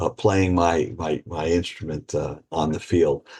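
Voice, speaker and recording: Over a quiet background, a man with a very deep, low pitch talks at a fairly slow pace in a somewhat breathy voice. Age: 60s. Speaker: retired judge and author. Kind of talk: casual chat.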